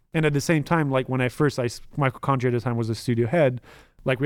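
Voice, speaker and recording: Fairly even in intonation, a man talks at a very fast pace. The recording is very clean, with a silent background. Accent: French. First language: French. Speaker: former pro gamer and game industry worker. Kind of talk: casual chat.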